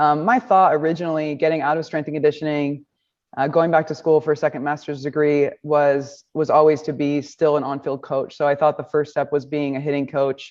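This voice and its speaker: A woman speaks at a fairly quick pace with an American accent, her very deep, low pitch carried in fairly even intonation. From Nebraska. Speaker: baseball coach. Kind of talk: press conference. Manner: confident.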